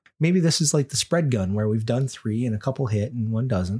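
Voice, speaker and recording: At a fairly quick pace, a man speaks in a somewhat breathy, dark, mellow tone with ordinary pitch variation on a very clean recording with a silent background. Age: middle-aged. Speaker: podcast host. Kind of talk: casual chat. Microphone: too close to the mic at times.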